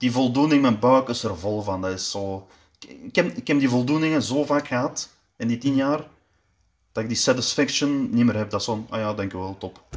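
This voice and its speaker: A man speaks at a medium pitch with ordinary pitch variation on a very clean recording with a silent background. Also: moderate pace. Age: 20s. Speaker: powerlifter. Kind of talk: interview. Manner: halting.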